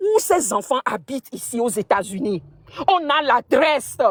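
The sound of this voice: A woman talks at a moderate pace with a slightly husky edge. Her pitch makes big swings.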